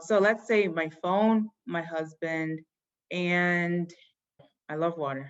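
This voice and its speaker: A woman's fairly low pitch with ordinary pitch variation, long, frequent pauses and big swings in loudness. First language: Yoruba. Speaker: fashion company founder. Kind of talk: interview answering children's questions. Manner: casual, many fillers.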